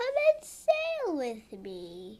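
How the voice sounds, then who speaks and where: Putting on a character voice, a woman talks with a high pitch. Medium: read story. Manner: wistful, small.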